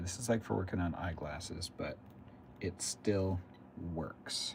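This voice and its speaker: A man speaks at a fairly slow pace in a very deep, low voice. It is somewhat breathy, with ordinary pitch variation. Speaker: RC hobby livestreamer. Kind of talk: casual livestream chat while building. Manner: mumbling at times.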